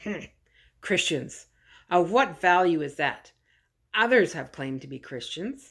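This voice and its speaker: A woman puts on a raspy character voice, fairly low in pitch, at a moderate pace. She leaves long, frequent pauses in a very clean recording with a silent background. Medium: read story. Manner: deferential, slightly nervous.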